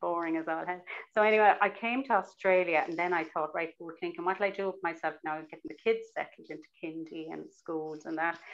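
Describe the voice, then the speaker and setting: Against a quiet background, a woman with a Cork accent talks at a fairly quick pace and a fairly low pitch. Her pitch varies in an ordinary way while her loudness swings widely. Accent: Irish (Cork). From Ireland, Cork City. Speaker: novelist. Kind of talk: interview with reading aloud. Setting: video call. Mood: chatty, good-humoured. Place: home room. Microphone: earbuds.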